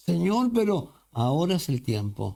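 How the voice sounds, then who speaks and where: A man speaks with a dark, mellow tone. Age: 60s. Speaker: pastor. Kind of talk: sermon.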